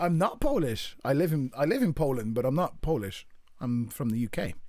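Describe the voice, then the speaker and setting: Speaking in a Birmingham accent, a man with a fairly high pitch uses lively intonation at a fairly quick pace. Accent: British accent, Birmingham. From English Midlands, Birmingham. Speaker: gaming streamer. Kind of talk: casual chat. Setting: live stream. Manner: halting.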